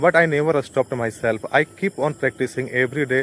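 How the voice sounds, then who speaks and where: Speaking at a fairly quick pace with an Indian accent, a man keeps his intonation fairly even. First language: Hindi. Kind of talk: casual talk to camera. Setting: outdoors. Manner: hesitant, many fillers.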